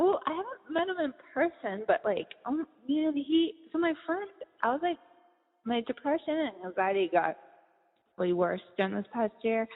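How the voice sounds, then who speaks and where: A woman with an American accent and a high pitch swings very widely in pitch, keeping a moderate pace broken by long, frequent pauses. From Boston, US. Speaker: podcast host and author. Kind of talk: casual interview chat.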